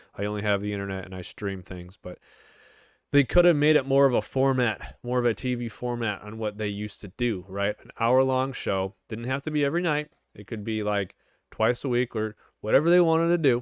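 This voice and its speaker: In a very clean recording with a silent background and a dry, close sound with no echo, a man with a Chicago accent talks at a fairly quick pace with big swings in loudness. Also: medium pitch for a man, ordinary pitch variation. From US Midwest, Chicago suburbs. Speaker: gaming YouTuber. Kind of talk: casual commentary. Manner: animated.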